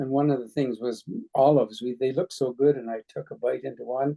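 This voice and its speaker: In a Canadian accent, a man speaks with a dark, mellow tone. The sound is dry and close, with no echo. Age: 80s+. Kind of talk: oral history interview. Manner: halting, hesitant.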